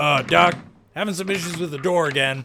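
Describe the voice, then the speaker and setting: A man puts on a character voice, fairly high in pitch and delivered at a fairly quick pace. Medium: audio drama. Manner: dopey.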